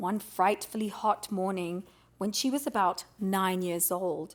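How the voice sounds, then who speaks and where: A woman's normal speaking voice at a medium pitch and fairly slow pace, on a very clean recording with a silent background. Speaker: audiobook reader. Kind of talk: audiobook reading of a classic children's novel.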